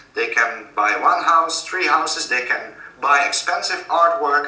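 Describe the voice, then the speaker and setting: A man speaks with a Dutch accent. Audible room echo and noticeable background noise are present. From Netherlands. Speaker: author. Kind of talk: interview. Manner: halting.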